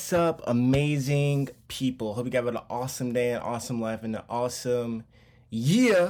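In an unremarkable speaking voice, a man with an American accent talks at a moderate pace and medium pitch with ordinary variation, recorded very cleanly against a silent background. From Charlotte, North Carolina. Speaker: podcast host. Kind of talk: casual monologue.

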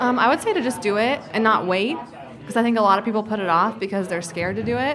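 The speech moves at a very fast pace. Noticeable background noise can be heard throughout. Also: woman, fairly high pitch for a woman, lively intonation. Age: 20s. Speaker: small business owner. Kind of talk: casual interview.

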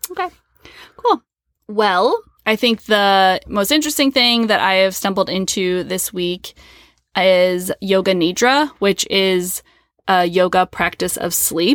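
On a very clean recording with a silent background and a dry, close sound with no echo, a woman with an American accent speaks at a fairly slow pace. Her medium-pitched voice is an ordinary speaking voice. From US Midwest. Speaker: podcast co-host. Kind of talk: casual chat. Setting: home closet.

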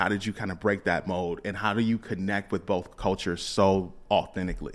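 A man speaks in a plain, everyday voice, fairly low in pitch and at a fairly quick pace. The recording is very clean with a silent background. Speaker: podcast host. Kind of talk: casual interview chat.

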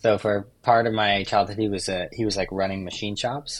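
Talking at a fairly quick pace with a West Coast American accent, this man has a fairly low-pitched voice. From US West Coast. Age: 30s. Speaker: overlander and vehicle builder. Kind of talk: casual chat.

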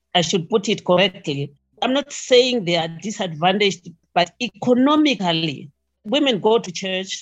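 A woman speaks with a Zimbabwean accent at a fairly slow pace, her intonation lively. Music plays in the background. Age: 70s. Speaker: retired nurse. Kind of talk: interview.

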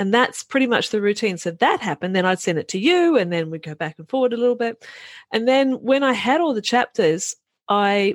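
On a very clean recording with a silent background and a dry, close sound with no echo, a woman speaks fairly quickly in a New Zealand accent with lively intonation. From New Zealand, rural. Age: 50s. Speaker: author and business mentor. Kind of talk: casual interview.

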